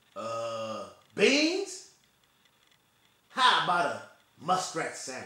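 A man puts on a drawling character voice, raised and projected at a high pitch. He speaks at a very slow pace with long, frequent pauses, and there is a slight echo. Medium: stage play. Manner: drawling backwoods dialect.

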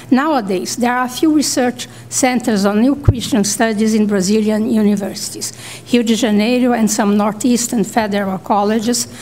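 Light background noise sits behind a woman's voice. She talks at a moderate pace with fairly even intonation. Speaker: panelist. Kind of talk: conference paper reading. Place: hall. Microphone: podium.

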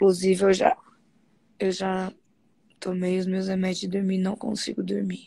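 Her tone dark and mellow and somewhat breathy, a woman speaks at a moderate pace in a monotone, flat intonation, with a dry sound and no echo. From Brazil. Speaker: study group member and live host. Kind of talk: casual chat. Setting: live stream video call. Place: home room. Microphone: phone near.

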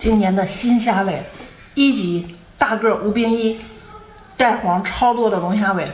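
At a fairly slow pace with long, frequent pauses, a woman speaks at a fairly high pitch amid audible room echo and light background noise. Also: ordinary pitch variation. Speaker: street seller / online seafood vendor. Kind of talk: sales pitch, live-stream style product promotion. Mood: slightly annoyed, explaining. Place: home room. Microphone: phone near.

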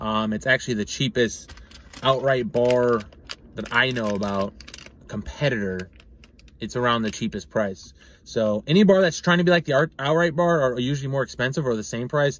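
A man speaks at a moderate pace with a dry sound and no echo. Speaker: product reviewer. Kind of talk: casual review vlog. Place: car. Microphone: phone near.

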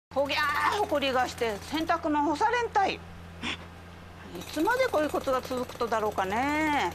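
A high-pitched woman with a Kumamoto accent, very wide pitch swings and long, frequent pauses, over noticeable background noise. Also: moderate pace. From Kumamoto, Japan. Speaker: commercial actor as housewife. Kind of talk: TV commercial read. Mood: annoyed complaint about dust.

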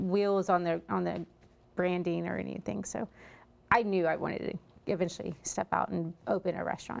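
A woman with a Texan accent talks at a fairly low pitch. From Texas. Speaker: restaurant owner; guest. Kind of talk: interview. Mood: relaxed, friendly. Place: studio. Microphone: lapel.

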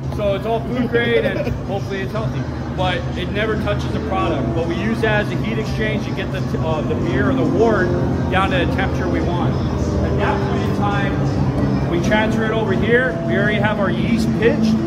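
A man talks at a fairly quick pace. Music plays in the background. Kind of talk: casual tour explanation. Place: factory. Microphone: phone near.

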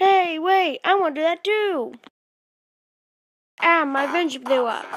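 An extremely high-pitched, cartoonish character voice delivers its lines at a fairly slow pace.

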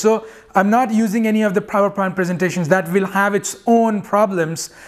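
Against a quiet background, a man talks at a high pitch and a fairly quick pace with fairly even intonation. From India. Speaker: geochemist and chemistry teacher. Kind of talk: channel introduction monologue. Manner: hesitant, many fillers and repetitions. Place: home room.

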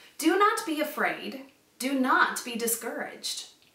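Speaking slowly at a high pitch, a woman has a fairly bright tone amid strong room echo.

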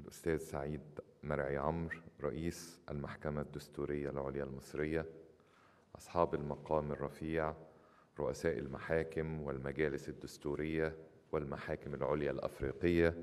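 Here a man speaks with a very deep, low pitch. His intonation is monotone and flat, at a moderate pace. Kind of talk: formal speech. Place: hall. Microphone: podium.

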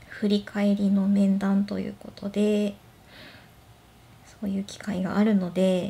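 A woman speaks at a fairly slow pace with long, frequent pauses and big swings in loudness, her dark, mellow tone somewhat breathy, relaxed and gentle, and her intonation monotone and flat. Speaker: blind office worker. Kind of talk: casual talk to camera. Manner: relaxed, gentle. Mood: gentle, smiling, relaxed. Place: home room. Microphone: phone near.

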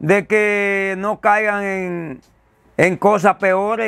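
A man speaks with a Dominican accent, and the sound is dry with no echo. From Dominican Republic. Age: 70s. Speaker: father of a prisoner; interviewee. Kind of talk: interview. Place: home room. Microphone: lapel.

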